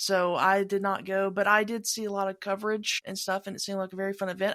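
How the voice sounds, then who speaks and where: Talking very fast in a Southern US accent, a woman keeps a medium pitch and a monotone, flat intonation. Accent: Southern US (Georgia). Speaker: podcast host. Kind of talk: casual chat.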